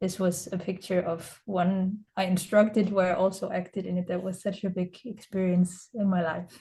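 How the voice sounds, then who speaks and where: With a Danish accent, a woman speaks at a moderate pace and medium pitch, somewhat breathy with a dark, mellow tone, against a quiet background. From Denmark, southern Jutland. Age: 20s. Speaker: student and teacher. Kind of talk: presentation. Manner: hesitant, many fillers.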